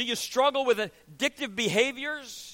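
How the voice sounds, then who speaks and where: A man's raised, projected voice, animated and bright with a sharp edge, at a fairly slow pace. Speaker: preacher. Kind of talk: sermon. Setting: church. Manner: animated, emphatic preaching with rhetorical questions and call-and-response cadence.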